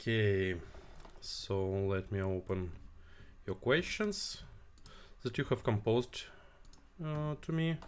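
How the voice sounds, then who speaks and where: A man with a Russian accent speaks at a medium pitch, very slowly, with long, frequent pauses. His pitch swings very widely. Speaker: tech company CEO. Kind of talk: live stream Q&A. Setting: live stream. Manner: halting, many fillers.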